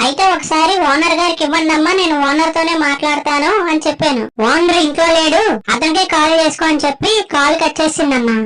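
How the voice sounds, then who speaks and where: A cartoonish character voice, high-pitched, at a moderate pace. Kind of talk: comedy skit narration. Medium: puppet. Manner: exasperated, complaining.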